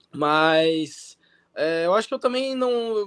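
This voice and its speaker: Ordinary pitch variation from a man, on a very clean recording with a silent background. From interior of São Paulo state, Brazil. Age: 20s. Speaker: professional tennis player. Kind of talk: interview.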